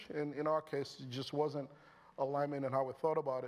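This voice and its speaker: A fairly high-pitched man at a fairly quick pace, fairly even intonation, very clean recording with a silent background. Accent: Nigerian. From Nigeria (Lagos). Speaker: tech company founder and CEO. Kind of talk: on-stage interview. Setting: stage with audience. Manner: conversational, many fillers.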